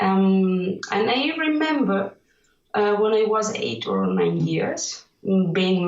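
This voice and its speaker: A woman with a Catalan accent and ordinary pitch variation. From Catalonia, Spain. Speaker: illustrator. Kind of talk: interview. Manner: halting, many fillers.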